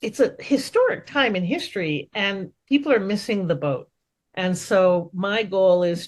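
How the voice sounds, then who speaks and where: A woman with a Canadian accent, medium pitch, lively intonation and a fairly slow pace. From Canada. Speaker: entrepreneur coach. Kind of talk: interview. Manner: loud; animated.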